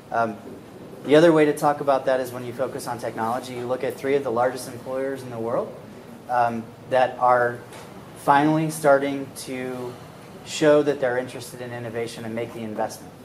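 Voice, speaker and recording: Noticeable background noise accompanies fairly quick, flat, monotone speech with big swings in loudness. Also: man, medium pitch for a man. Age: 40s. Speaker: startup evangelist and investor. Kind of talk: interview at live event.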